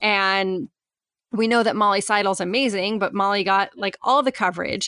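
The woman's tone is bright and sharp, at a medium pitch with ordinary pitch variation. The background is quiet. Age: 30s. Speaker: podcast host. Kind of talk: casual chat. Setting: video call.

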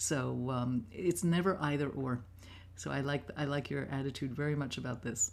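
A woman with an American accent speaks at a very deep, low pitch with vocal fry and lively intonation. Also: moderate pace. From New York City (Manhattan). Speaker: composer. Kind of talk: talk to students over video call. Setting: video call.

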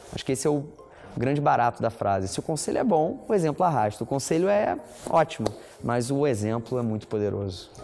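Music plays in the background as a man speaks at a fairly quick pace. His pitch swings very widely. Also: medium pitch for a man. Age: 30s. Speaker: entrepreneur, fashion brand founder. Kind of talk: interview.

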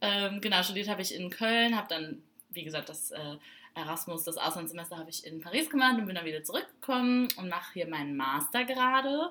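A woman speaks at medium pitch and a fairly quick pace. Her voice shows very wide pitch swings and big swings in loudness. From Saarbrücken, Germany. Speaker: podcast co-host, student. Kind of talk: casual chat.

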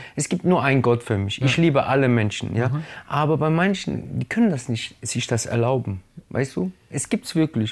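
A plain, everyday voice from a man, medium in pitch with lively intonation and a moderate pace, in a very clean recording with a silent background. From Germany, Italian family. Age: 30s. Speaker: hip-hop artist. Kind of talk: casual interview.

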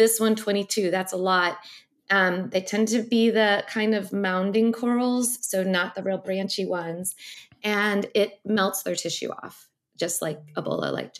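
The delivery is very slow, with fairly even intonation. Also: woman. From US Midwest (Missouri). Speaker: ocean scientist and science writer. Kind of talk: interview. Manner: halting, many fillers.

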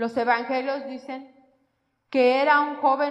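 With audible room echo, the speaker goes at a fairly slow pace with fairly even intonation. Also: woman. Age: 40s. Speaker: lay preacher. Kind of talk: sermon.

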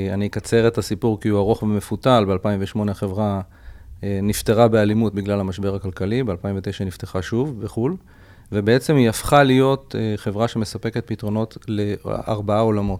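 In an ordinary speaking voice, a man talks at a moderate pace. His pitch is fairly low and his intonation fairly even. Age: 50s. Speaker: startup CEO. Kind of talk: interview.

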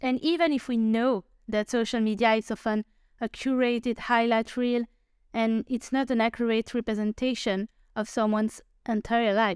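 Here a woman with a non-native accent talks at a moderate pace in a fairly high pitch, with fairly even intonation and very even loudness. The recording is very clean and dry, with a close sound, no echo and a silent background. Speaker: podcast host. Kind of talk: solo podcast monologue.

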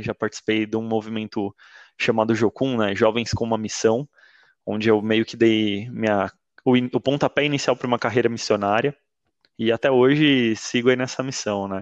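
The voice stays monotone, with flat intonation. The sound is dry and close with no echo, over a quiet background. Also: man. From São Paulo, Brazil. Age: 30s. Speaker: church member sharing testimony. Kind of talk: testimony.

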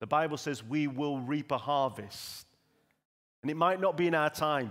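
A man's fairly high, a normal speaking voice at a moderate pace, with ordinary pitch variation, on a very clean recording with a silent background. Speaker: church pastor. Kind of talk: sermon. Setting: church.

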